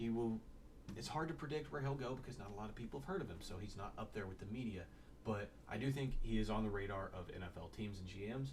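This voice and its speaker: A man talks at a very fast clip in a fairly low voice, his lively intonation edged with vocal fry and carrying audible room echo. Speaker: sports draft analyst. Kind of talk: casual solo commentary. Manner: halting.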